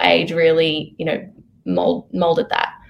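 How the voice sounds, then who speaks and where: A woman with an Australian accent speaks with vocal fry. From Sydney, Australia. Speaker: actress. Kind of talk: casual interview. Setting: video call.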